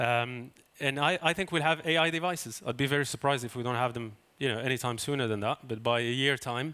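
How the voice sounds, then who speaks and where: The man's voice has a bright, sharp tone at a medium pitch. He talks at a fairly quick pace. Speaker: fund manager. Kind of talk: panel discussion.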